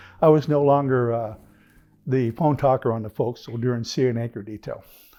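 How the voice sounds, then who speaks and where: Over background music, a man with an American accent talks at a moderate pace. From California. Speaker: retired firefighter and navy veteran. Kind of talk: life story interview. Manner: casual, conversational.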